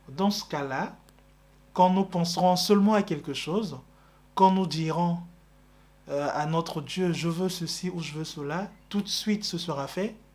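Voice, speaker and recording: Music plays in the background as a man with a high pitch speaks at a very slow pace with fairly even intonation. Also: long, frequent pauses. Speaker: religious preacher. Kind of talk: religious teaching.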